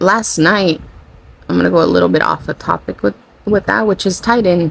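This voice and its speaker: Words come fairly quickly against noticeable background noise. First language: Spanish. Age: 40. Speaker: spiritual channeler / content creator. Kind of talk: casual spiritual monologue. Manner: rambling, self-correcting.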